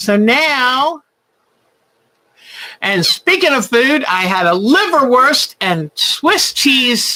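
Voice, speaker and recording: Her tone is warm and animated, and her pitch swings very widely. She is a woman with a high voice and an American accent. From Virginia, US South. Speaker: quilting channel host. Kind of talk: livestream craft show chat. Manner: chatty, warm and animated.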